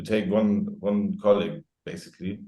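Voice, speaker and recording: Speaking at a moderate pace with a strong German accent, a man has a dark, mellow tone and fairly even intonation. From Germany. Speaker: safety expert. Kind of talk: podcast interview. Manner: halting.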